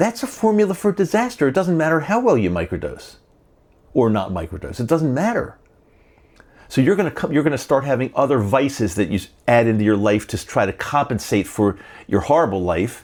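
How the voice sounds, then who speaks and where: Speaking at a fairly quick pace, a man with a medium pitch and vocal fry makes very wide pitch swings. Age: 70s. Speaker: podcast host. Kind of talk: monologue to camera. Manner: halting, repetitive; emphatic.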